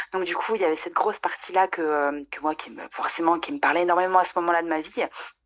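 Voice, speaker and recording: Speaking at a fairly quick pace, a woman has an unremarkable speaking voice in a medium pitch. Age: 30s. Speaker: nutrition adviser. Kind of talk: casual interview.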